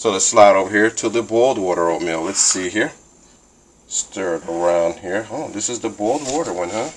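A man speaks at a moderate pace with ordinary pitch variation. Light background noise can be heard. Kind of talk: casual vlog chat. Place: kitchen. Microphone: phone near.

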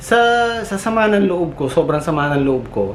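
A man speaks at a moderate pace with very wide pitch swings. There is audible room echo and noticeable background noise. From Philippines. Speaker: vlogger and overseas factory worker. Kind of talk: casual vlog storytelling. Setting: outdoors at a factory compound.

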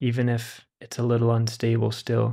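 A man with a plain, everyday voice, medium in pitch, at a fairly slow pace. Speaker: meditation teacher. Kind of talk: guided meditation. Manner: slow, gentle invitations to relax and savor warm feelings; soft-spoken, calm and soothing.

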